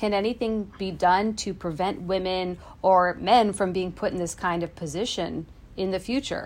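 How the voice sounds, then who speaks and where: Heard on a very clean recording with a silent background, a woman with an ordinary speaking voice talks at a moderate pace, at a medium pitch and with ordinary pitch variation. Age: 30s. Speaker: consumer news reporter. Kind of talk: casual chat. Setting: home basement.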